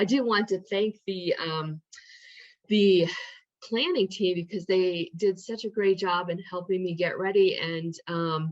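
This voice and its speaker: A woman's medium-pitched voice with fairly even intonation at a fairly slow pace. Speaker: social work professor and researcher. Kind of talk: presentation.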